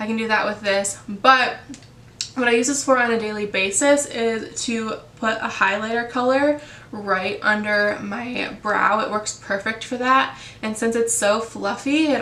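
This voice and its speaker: There is noticeable background noise and audible room echo. A woman speaks at a moderate pace with a fairly high pitch. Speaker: beauty vlogger. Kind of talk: casual tutorial talk. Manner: casual with many fillers.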